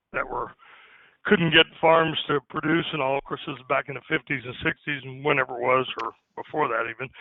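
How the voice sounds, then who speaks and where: A man speaks with an American accent at a moderate pace. His pitch is fairly high, and his intonation stays fairly even. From Indiana, US Midwest. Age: 60s. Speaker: farmer. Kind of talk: casual chat. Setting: phone call.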